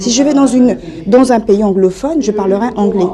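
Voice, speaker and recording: Recorded with audible room echo and noticeable background noise, a woman talks at a fairly high pitch with ordinary pitch variation. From Africa. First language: an African language (speaking French). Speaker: activist. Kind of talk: press conference statement.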